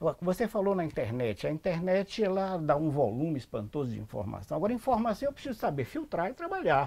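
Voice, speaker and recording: A man's fairly high, dark, mellow voice at a fairly quick pace, with very wide pitch swings, on a very clean recording with a silent background. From Salvador, Bahia, Brazil. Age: 70s. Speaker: anthropologist. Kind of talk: interview. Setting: at his home.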